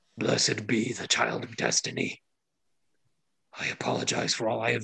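A man puts on a raspy character voice. He talks at a medium pitch and a moderate pace.

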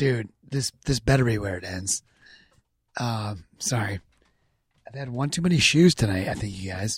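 With a dry, close sound and no echo, a man at medium pitch speaks with lively intonation and long, frequent pauses. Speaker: podcast guest.

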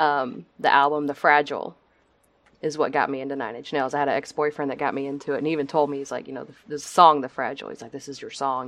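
In a Texan accent, the speaker races at a very fast pace with monotone, flat intonation and big swings in loudness. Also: woman, very deep, low pitch for a woman. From Texas. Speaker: nurse and podcast guest. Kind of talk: casual interview chat.

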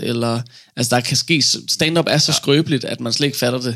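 The recording is very clean, with a silent background. A man speaks at a medium pitch in a monotone, flat intonation. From Denmark, Funen. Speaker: stand-up comedian. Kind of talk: interview. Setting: studio.

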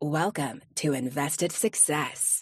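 Put-on character voice, raspy, low-to-middle in pitch, at a fairly slow pace

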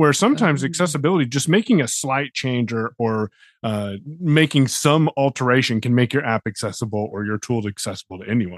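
Against a quiet background with a dry, close sound and no echo, a man with a normal speaking voice talks at a moderate pace and medium pitch, using lively intonation. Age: 30s. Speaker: podcast co-host. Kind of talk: casual chat.

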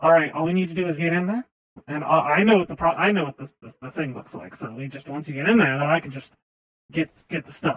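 A put-on character voice speaks at a middle pitch and a fairly quick pace. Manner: casual, jumpy.

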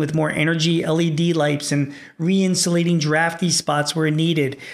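This is a man speaking. His pitch is high. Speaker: small business podcast host. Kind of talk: solo podcast talk giving business advice. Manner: fast; casual with fillers.

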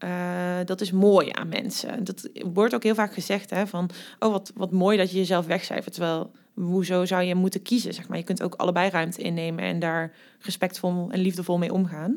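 This woman speaks at a moderate pace and medium pitch, her intonation fairly even. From Netherlands, Limburg. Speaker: university diversity and refugee policy coordinator. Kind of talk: casual interview.

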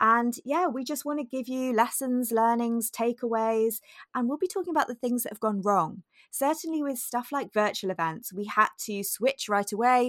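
On a very clean recording with a silent background, a woman speaks at a moderate pace with a high pitch. Her intonation is lively, and the sound is dry and close with no echo. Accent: British. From UK. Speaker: podcast co-host. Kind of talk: casual chat.

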